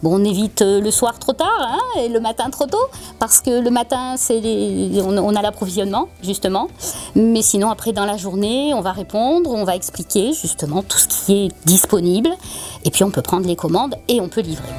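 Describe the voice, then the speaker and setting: With a southern French accent, a woman speaks at a moderate pace and fairly high pitch, her intonation lively over noticeable background noise. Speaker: florist. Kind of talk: interview answer.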